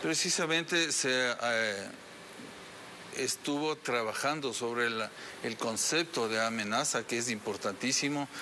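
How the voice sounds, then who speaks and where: A man speaks at a very even loudness over light background noise. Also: ordinary pitch variation, fairly slow pace. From Ecuador. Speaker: police general; interviewee. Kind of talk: TV interview. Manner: hesitant, many fillers. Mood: serious, firm. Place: studio.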